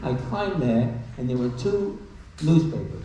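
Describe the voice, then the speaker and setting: Against noticeable background noise and audible room echo, a man at a medium pitch speaks fairly slowly with very wide pitch swings. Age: 100s (80s+). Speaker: war veteran. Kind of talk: testimony. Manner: halting.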